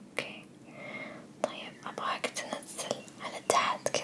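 A woman is heard. She is whispering. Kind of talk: soft role-play instructions, ASMR-like. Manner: soft ASMR doctor voice, close. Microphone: phone near.

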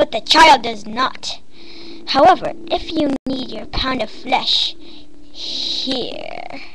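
A woman uses a cartoonish character voice at an extremely high pitch, speaking at a very slow pace over clear background noise. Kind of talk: fandub voice acting. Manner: sneering, menacing, mock sweet.

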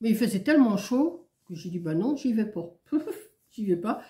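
A woman's fairly high, somewhat breathy voice with lively intonation at a moderate pace. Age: old. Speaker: vlogger. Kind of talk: casual chat. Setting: at home. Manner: rambling, hesitant.

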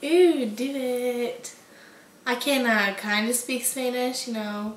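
Speaking very slowly with a Kentucky accent, a woman uses a high pitch and fairly even intonation amid audible room echo. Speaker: vlogger. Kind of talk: casual talk to camera. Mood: playful, joking. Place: home room. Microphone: camera far.

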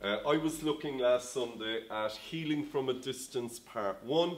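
A man speaks at a fairly slow pace. His pitch variation is ordinary. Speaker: pastor. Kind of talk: sermon. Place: home room.

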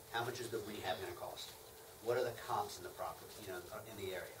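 Noticeable background noise runs beneath a man's voice. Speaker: hard money lender presenting to real estate investors. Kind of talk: lecture. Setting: live seminar with audience. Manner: fast talker; talkative. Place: meeting room. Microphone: camera far.

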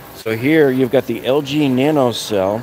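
Clear music plays behind a man's voice. The sound is dry with no echo. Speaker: shopping vlogger. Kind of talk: casual live-stream product commentary. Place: shop. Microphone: phone near.

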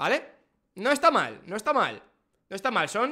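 A man's raised, projected voice, bright and sharp in tone, over a quiet background. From Spain. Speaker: F1 streamer and YouTuber; F1 streamer, YouTuber. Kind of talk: casual reaction livestream. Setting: live stream. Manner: animated. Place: home room. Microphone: studio mic.

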